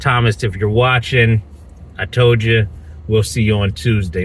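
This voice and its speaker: There is noticeable background noise behind this voice. A man talks with an American accent. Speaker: YouTuber, land buyer. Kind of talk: casual vlog update. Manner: informal, with fillers.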